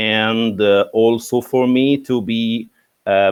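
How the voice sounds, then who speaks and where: The speaker talks with an Egyptian accent and fairly even intonation. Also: man. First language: Arabic. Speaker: English teacher. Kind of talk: interview. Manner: halting, many fillers.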